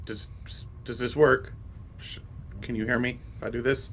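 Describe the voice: A whispering, put-on character voice over clear background noise. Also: man, moderate pace.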